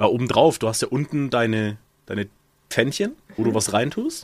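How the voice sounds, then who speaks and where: A man speaks at a medium pitch and a moderate pace. He has a plain, everyday voice. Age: 20s. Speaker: podcast co-host. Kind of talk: casual chat.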